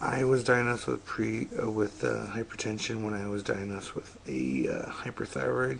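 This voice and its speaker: A quiet man speaks slowly-ish, at a fairly slow pace and a fairly low pitch. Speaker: vlogger. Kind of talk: personal vlog about health. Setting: home at 3am. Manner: speaking quietly; halting, many fillers.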